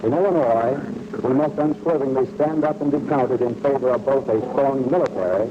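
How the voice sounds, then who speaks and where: A man speaking fairly quickly with lively intonation and very even loudness, over noticeable background noise. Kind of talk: vintage civil defense announcement read. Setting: old-time radio broadcast. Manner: formal, grave, authoritative.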